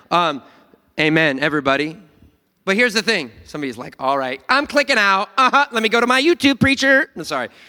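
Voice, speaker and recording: In a very clean recording with a silent background and a dry, close sound free of echo, a man projects a raised voice at a fairly quick pace, his pitch high with very wide swings and his tone bright and sharp. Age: 30s. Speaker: pastor. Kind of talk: sermon. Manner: animated.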